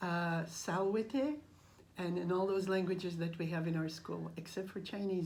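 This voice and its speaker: With a Russian accent, a woman speaks at medium pitch and a moderate pace with ordinary pitch variation, as room echo is audible. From Russian family, raised across Austria, Brazil and Canada. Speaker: language teacher. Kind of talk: interview. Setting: at a school. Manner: halting.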